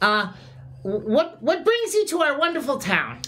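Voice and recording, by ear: In a put-on character voice, a man speaks at a moderate pace with an extremely high pitch, a fairly bright tone, and very wide pitch swings.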